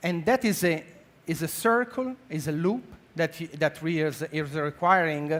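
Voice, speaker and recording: A man talks at a moderate pace with an Italian accent. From Italy. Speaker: healthcare technology executive. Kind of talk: conference talk. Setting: stage with audience. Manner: halting, many fillers.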